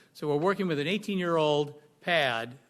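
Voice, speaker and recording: Over a quiet background, a man talks at a fairly quick pace. His pitch variation is ordinary. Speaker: public commenter at planning meeting. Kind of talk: public comment presentation. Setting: public meeting. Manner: loud.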